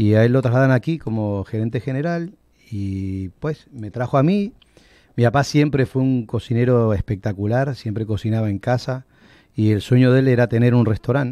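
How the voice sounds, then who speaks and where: A man in an Argentine accent speaks with a dark, mellow tone in a dry sound with no echo. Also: ordinary pitch variation, moderate pace, quiet background. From Argentina, moved to Puerto Rico as a child. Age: 50s. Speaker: restaurant owner; interview guest. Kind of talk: interview. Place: studio. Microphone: studio mic.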